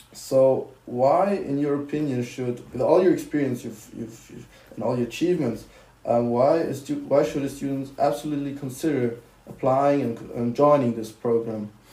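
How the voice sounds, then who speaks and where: There is audible room echo as a man with a fairly high pitch for a man talks at a moderate pace. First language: German. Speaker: student podcast host. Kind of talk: interview.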